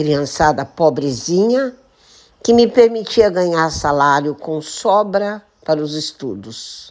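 A woman's fairly low voice at a very slow pace, with very wide pitch swings, on a very clean recording with a silent background. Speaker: podcaster and retired teacher. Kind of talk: reading aloud. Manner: declamatory.

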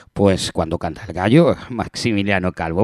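Moderately paced speech from a man, the recording very clean and the background silent. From Spain, Granada area. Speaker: radio music show host. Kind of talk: radio presenting. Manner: casual, repetitive filler words.

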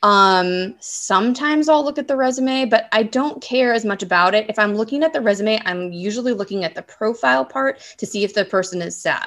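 The speaker has a normal speaking voice with an American accent and lively intonation. The delivery moves at a fairly quick pace with hardly any pauses. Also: woman, fairly high pitch for a woman. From Southern California. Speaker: casting director. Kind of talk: interview.

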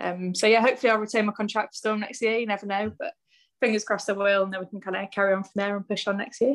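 A woman with a West Country accent speaks very fast in a medium pitch, with big swings in loudness. The recording is very clean, with a silent background. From West Country, Bristol. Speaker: professional cricketer. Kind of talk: interview.

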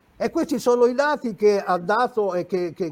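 A man at a moderate pace with lively intonation. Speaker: retired general and military analyst. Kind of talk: panel discussion. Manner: halting.

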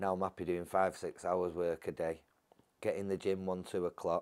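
A man speaks in a very deep, low pitch. The recording is very clean, with a silent background. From Salford, Greater Manchester, England. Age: 50s. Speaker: former prisoner turned author. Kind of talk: interview storytelling.

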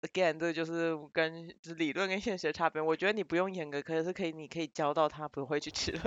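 A woman with a fairly low pitch talks at a fairly quick pace with hardly any pauses and fairly even intonation, in an ordinary speaking voice. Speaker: podcast co-host. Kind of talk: casual chat.

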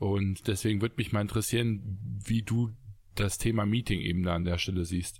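A man's fairly low, somewhat breathy voice with fairly even intonation and very even loudness, in a very clean recording with a silent background. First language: not German (speaking German). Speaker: podcast co-host, entrepreneur. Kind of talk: casual chat. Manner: hesitant, many fillers.

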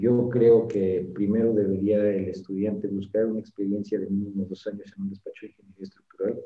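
A normal speaking voice from a man, fairly low-pitched, with fairly even intonation at a moderate pace. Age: 30s. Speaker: structural engineer and firm founder. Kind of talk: interview.

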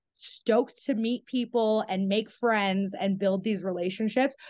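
At a moderate pace, a woman with a fairly high pitch talks in an ordinary speaking voice, showing ordinary pitch variation. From Canada. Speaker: reality show contestant. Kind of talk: casual interview.

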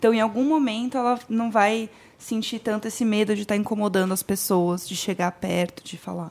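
Speaking at a fairly quick pace, a woman with a plain, everyday voice has a fairly high pitch and ordinary pitch variation. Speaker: podcaster guest. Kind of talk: casual chat.

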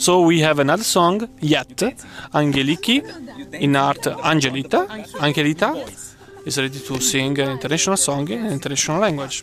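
A man with an Italian accent and a fairly high voice talks at a fairly quick pace, yet with long, frequent pauses. Noticeable background noise is present. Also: ordinary pitch variation. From Italy. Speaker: podcast host. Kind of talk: casual chat. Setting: outdoors. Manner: animated.

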